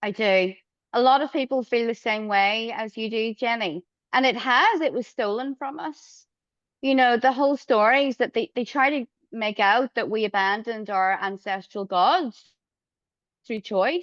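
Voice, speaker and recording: In an Irish accent, a woman talks at a moderate pace and a fairly high pitch with ordinary pitch variation, recorded dry and close with no echo against a quiet background. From Ireland. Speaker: astrologer. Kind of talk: interview answers.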